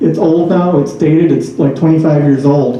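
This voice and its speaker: Fairly even intonation from a man at a fairly high pitch with an American accent, amid audible room echo and noticeable background noise. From northern US. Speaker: author and speaker on out-of-body experiences. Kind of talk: talk with Q&A. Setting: talk to a study group audience. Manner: hesitant, many fillers.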